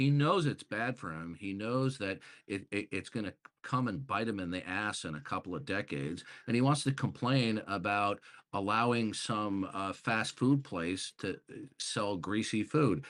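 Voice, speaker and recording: With an American accent and an ordinary speaking voice, a man talks at a moderate pace and a fairly low pitch with ordinary pitch variation on a very clean recording with a silent background. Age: 60s. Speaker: debater. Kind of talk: heated debate.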